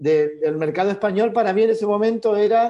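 Over a quiet background, a man talks at a moderate pace in a dark, mellow tone. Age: 50s. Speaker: illustrator. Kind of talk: interview conversation.

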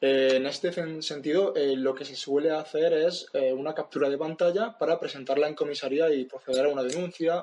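Against noticeable background noise, a man with a fairly high pitch and fairly even intonation speaks at a fairly quick pace with hardly any pauses. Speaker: podcast host. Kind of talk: interview. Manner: halting.

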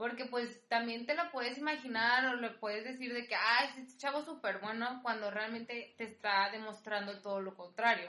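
A woman speaks in a normal speaking voice at a fairly high pitch with ordinary pitch variation. Her pace is moderate, with hardly any pauses. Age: 20s. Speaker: podcast guest, host's best friend. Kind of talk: casual chat, personal testimony.

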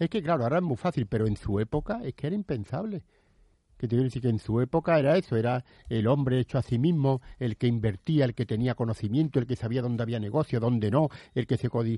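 A man speaks very fast at a medium pitch with a dark, mellow tone and ordinary pitch variation, the sound dry and close with no echo over a quiet background. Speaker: radio co-host. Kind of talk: casual chat.

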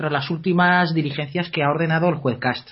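A man speaks at a fairly quick pace. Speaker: legal commentator. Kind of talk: reading aloud; radio discussion.

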